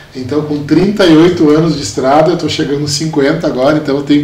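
A man with a fairly high voice speaks at a moderate pace with fairly even intonation. The recording has audible room echo and noticeable background noise. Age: 40s. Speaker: municipal secretary and entrepreneur. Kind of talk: interview. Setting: studio.

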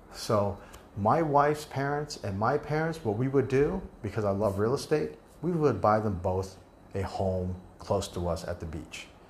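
With an American accent, a man talks at a moderate pace in a fairly low pitch, his voice making very wide pitch swings amid audible room echo. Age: 50s. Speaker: podcast host, real estate agent. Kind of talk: solo podcast monologue.

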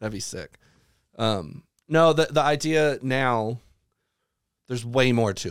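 A man with a Southern US accent and a medium pitch talks at a fairly slow pace with lively intonation. His loudness swings widely, and he leaves long, frequent pauses. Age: 30s. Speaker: electronic music producer and DJ. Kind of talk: casual chat.

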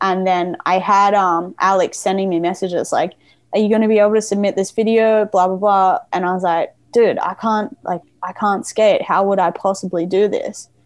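Over a quiet background, a woman with an Australian accent talks at a moderate pace and a medium pitch in a monotone, flat intonation. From Australia, Gold Coast, Queensland. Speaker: skateboarder. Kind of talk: casual chat. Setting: video call.

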